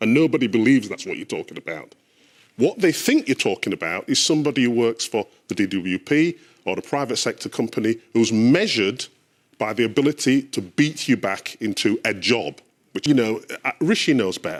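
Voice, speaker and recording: A man with a British accent talks at a fairly quick pace with lively intonation. The recording is very clean, with a silent background. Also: medium pitch for a man. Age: 60s. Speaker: panellist. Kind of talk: heated debate. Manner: animated.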